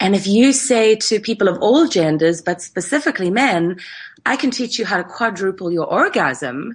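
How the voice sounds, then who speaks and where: A woman speaks at a medium pitch and a moderate pace, somewhat breathy. Her pitch swings very widely against a quiet background. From South Africa, Cape Town. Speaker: tantra teacher. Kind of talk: casual interview. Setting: remote call across time zones.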